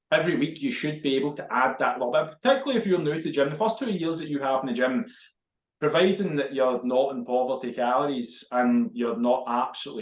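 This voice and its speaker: Lively in intonation, a man talks at a fairly quick pace in a fairly high voice. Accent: Glaswegian. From Scotland, Glasgow. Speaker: fitness podcast co-host. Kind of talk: casual chat.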